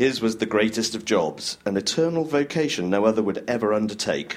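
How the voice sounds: Heard here is a natural reading voice whose intonation is lively.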